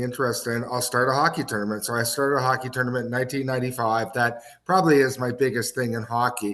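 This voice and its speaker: With an Ontario accent, a man talks at a fairly quick pace in a bright, sharp tone that stays flat and monotone. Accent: Canadian (Ontario). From Canada, Kitchener, Ontario. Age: 60s. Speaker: hockey executive and former coach. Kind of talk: podcast interview.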